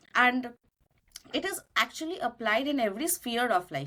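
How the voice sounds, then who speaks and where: A woman's voice comes through with a bright, sharp tone. Her pitch swings very widely. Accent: Bengali. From India, Kolkata (Bengali). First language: Bengali. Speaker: cloud solution architect. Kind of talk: podcast interview.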